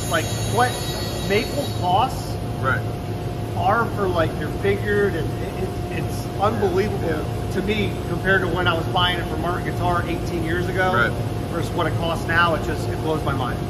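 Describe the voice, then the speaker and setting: Loud noise fills the background. Through it, a man talks at a moderate pace. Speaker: guitar factory worker. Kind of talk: interview answer. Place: factory. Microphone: phone near.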